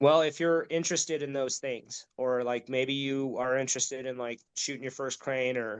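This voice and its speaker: A man talks in an unremarkable speaking voice, keeping a medium pitch, a moderate pace and fairly even intonation. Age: 40s. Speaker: outdoor nonprofit leader and hunting guide. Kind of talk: casual interview chat.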